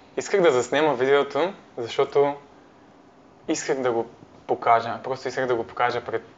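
A man at medium pitch, fairly even intonation, a moderate pace and long, frequent pauses. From Bulgaria, Parvomay (Plovdiv region). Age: 20s. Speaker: university student, volunteer. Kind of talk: interview. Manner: halting.

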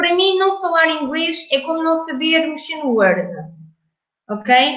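Speaking very slowly, a woman uses an extremely high pitch and lively intonation. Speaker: English communication trainer. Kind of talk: interview.

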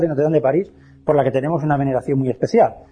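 At a very fast pace, a man with a fairly high pitch speaks in a somewhat breathy voice. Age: 50s. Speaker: lecturer on alchemy. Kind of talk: lecture.

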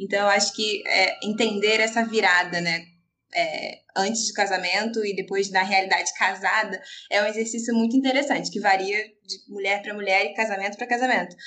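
This woman talks at a fairly quick pace, her medium pitch moving with ordinary variation. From Rio de Janeiro, Brazil. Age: 20s. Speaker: pastor's wife. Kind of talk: casual chat. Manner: halting.

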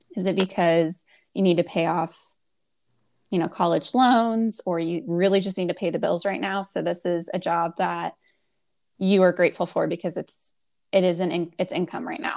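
An unremarkable speaking voice with fairly even intonation at a moderate pace, in a very clean recording over a silent background. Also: woman, fairly low pitch for a woman. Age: 20s. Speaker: career coach. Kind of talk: casual chat.

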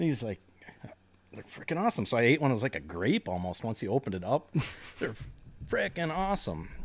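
A man with an Upper Midwest accent speaks at a very fast pace, yet with long, frequent pauses. His voice shows vocal fry and very wide pitch swings. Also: medium pitch for a man. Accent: Upper Midwest American. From Wisconsin, La Crosse / River Falls. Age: 40s. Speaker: tournament bass angler. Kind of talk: casual chat.

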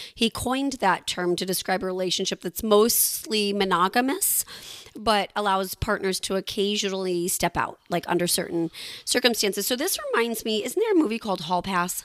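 A woman talks at a moderate pace with ordinary pitch variation, and noticeable background noise runs behind her. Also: medium pitch for a woman. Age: 40s. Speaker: podcast co-host. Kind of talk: casual chat.

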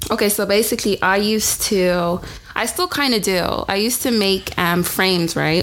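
Against noticeable background noise, a woman with a medium pitch talks at a moderate pace, keeping very even loudness and ordinary pitch variation. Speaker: podcast co-host. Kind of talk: casual chat.

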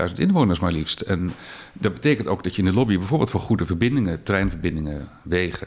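A man speaks with a very deep, low pitch. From Netherlands, The Hague. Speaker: lobbyist, former radio journalist. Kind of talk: casual interview.

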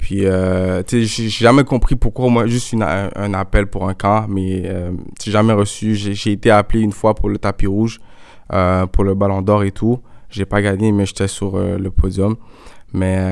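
The delivery comes at a moderate pace in a monotone with flat intonation. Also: man, fairly low pitch for a man. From Montreal, Quebec. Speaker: soccer player. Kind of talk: interview. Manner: casual, hesitant fillers.

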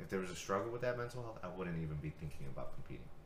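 A man's very deep, low voice amid noticeable background noise and audible room echo. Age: 30s. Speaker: martial arts coach and podcast host. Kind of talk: casual chat.

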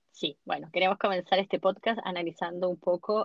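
A woman talks at a moderate pace in a medium pitch. She speaks with a Chilean accent. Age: 40s. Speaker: podcast host. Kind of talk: casual chat.

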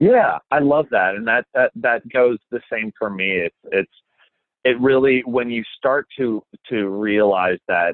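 A man's unremarkable speaking voice, fairly slow, at a medium pitch with ordinary pitch variation. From Minnesota, Minneapolis suburbs. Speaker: TV host. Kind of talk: interview.

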